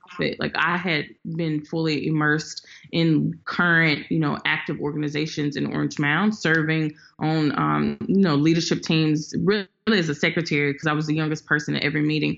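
This woman has a very deep, low pitch and a Southern US accent. She talks at a fairly quick pace, her intonation fairly even. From Memphis, Tennessee. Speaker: community organizer. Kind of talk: interview.

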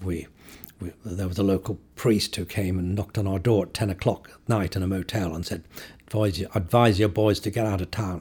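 A man speaks at a fairly quick pace in a fairly low voice. His delivery is somewhat breathy, with fairly even intonation. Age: 70s. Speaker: photographer. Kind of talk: interview. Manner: halting.

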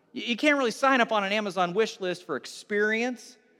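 Raised and projected, a man's high-pitched voice has a bright, sharp tone and moves at a fairly quick pace. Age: 40s. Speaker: pastor. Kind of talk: sermon. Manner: halting.

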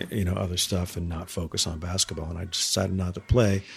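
This man's voice is very deep and low in pitch and somewhat breathy, with an American accent. He speaks at a fairly quick pace. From New Hampshire, US. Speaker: arts nonprofit director and music producer. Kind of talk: casual chat. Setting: in person, his studio space.

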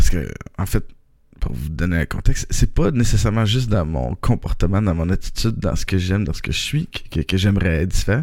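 With a Quebec accent, a man talks at a fairly quick pace and a fairly low pitch. His lively intonation comes with vocal fry. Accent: Québécois French. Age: 30s. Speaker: podcaster. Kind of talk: personal monologue. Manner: halting.

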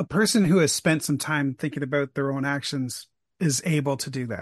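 Against a quiet background, a man with a fairly high pitch and a somewhat breathy voice speaks at a moderate pace, the sound dry and close with no echo. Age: 50s. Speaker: podcaster interviewing the host. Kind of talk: casual interview chat.

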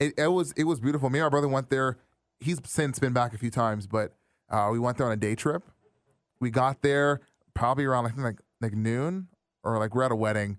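Here is a man with a plain, everyday voice at medium pitch. He speaks at a fairly quick pace with ordinary pitch variation and very even loudness. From Brampton, Ontario, Canada. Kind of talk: casual conversation. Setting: studio.

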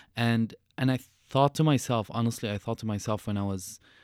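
A man with an Arabic accent talks at a fairly quick pace in a medium pitch, his intonation fairly even, on a very clean, dry, close recording with no echo and a silent background. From Syria. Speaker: author and refugee activist. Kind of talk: interview.

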